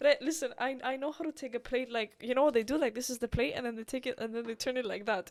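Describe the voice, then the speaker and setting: Her speech is very fast and high-pitched with ordinary pitch variation, as this woman's voice comes through dry and close with no echo. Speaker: podcast host. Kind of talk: casual chat.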